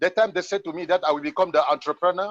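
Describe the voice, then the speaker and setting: A man's high voice with ordinary pitch variation over a quiet background. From Cameroon. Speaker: network marketer. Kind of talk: testimony. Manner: halting.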